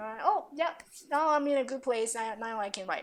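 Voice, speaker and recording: Here a woman talks. The rise and fall of her pitch is normal. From Taiwan, then New York. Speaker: confidence coach and author. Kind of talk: podcast interview.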